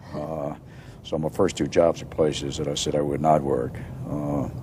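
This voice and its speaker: Speaking fairly quickly with an American accent, a man has a very deep, low pitch, and there is noticeable background noise. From Virginia, US (Newport News / Roanoke). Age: 60s. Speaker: retired engineering society president. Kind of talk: interview. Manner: halting, many fillers.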